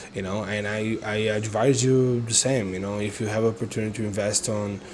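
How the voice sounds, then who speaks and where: Noticeable background noise sits behind a man speaking fairly quickly. His fairly low voice stays monotone and flat. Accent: Brazilian. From Brazil. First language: Portuguese. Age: 30s. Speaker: online entrepreneur and vlogger. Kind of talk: casual vlog monologue. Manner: halting, many fillers.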